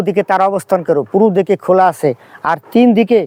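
The recording has a dry, close sound with no echo as a man talks. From Bangladesh, Faridpur. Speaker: primary school head teacher. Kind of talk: complaint statement to press. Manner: halting.

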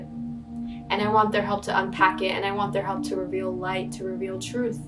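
Clear music sounds behind a woman as she talks. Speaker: spoken word poet. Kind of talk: spoken word poetry performance. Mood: earnest, emotional, reflective. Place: home room.

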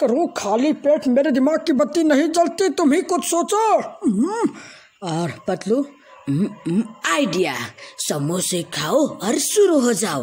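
A man speaks in a put-on character voice, pitched extremely high. His delivery is very slow.

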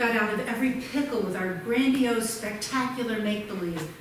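A woman talks at a moderate pace amid light background noise and audible room echo. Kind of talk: theatrical storytelling monologue with character voices. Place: stage.

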